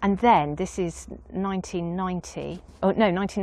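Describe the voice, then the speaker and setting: Vocal fry runs through the voice. The background is quiet. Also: woman. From Dorset, South West England. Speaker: artist and beekeeper. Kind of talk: casual interview.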